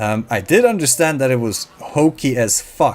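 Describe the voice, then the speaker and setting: A man with a relaxed tone, medium pitch, and moderate pace over noticeable background noise. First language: not English (English is third language). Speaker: gaming YouTuber. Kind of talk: casual gameplay commentary. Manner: halting, many fillers.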